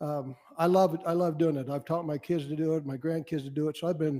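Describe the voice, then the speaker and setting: A man with an American accent speaks in a dark, mellow tone, pitched fairly high for a man. His pace is moderate and his intonation fairly even. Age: 60s. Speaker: wildlife board member. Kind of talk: public meeting remarks. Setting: public board meeting. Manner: halting.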